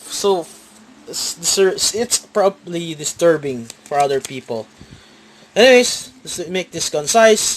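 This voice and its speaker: Very slow delivery with long, frequent pauses and lively intonation. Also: man, high pitch for a man. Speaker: card game YouTuber. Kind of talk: deck profile tutorial. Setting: at home, filming a playmat on a tripod. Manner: halting, with fillers and repeats.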